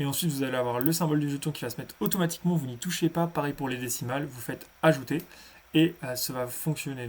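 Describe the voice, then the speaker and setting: At a very fast pace, a man speaks with a fairly high voice. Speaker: crypto tutorial youtuber. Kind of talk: tutorial. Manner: halting.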